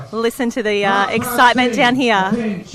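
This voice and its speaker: Noticeable background noise sits behind the voice. A woman speaks at a fairly high pitch. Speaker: live stream host. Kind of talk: live event commentary. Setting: outdoors on a beach. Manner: speaking quietly; animated.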